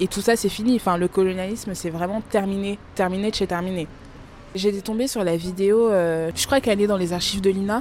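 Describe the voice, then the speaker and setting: A plain, everyday voice from a woman, medium in pitch, at a fairly quick pace with fairly even intonation. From France, of Congolese parents. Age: 20s. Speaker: podcast guest discussing texts. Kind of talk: casual conversation.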